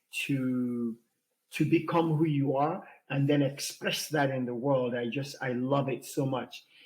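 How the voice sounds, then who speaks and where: A man's fairly high, somewhat breathy voice at a fairly slow pace, with fairly even intonation. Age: 60s. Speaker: podcast co-host. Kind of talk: casual chat. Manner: halting, many fillers.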